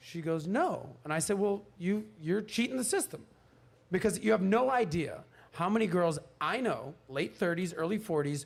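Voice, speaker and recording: In an American accent, a man with a high voice sounds animated, his intonation lively. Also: moderate pace. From US, Miami. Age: 40s. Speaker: podcast guest. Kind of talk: panel discussion.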